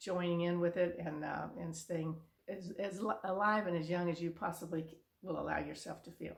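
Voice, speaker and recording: The voice has monotone, flat intonation and vocal fry. It moves at a moderate pace. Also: woman. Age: 70s. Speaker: vlogger giving life advice to seniors. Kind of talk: casual direct-to-camera monologue. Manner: halting, with many restarts and fillers.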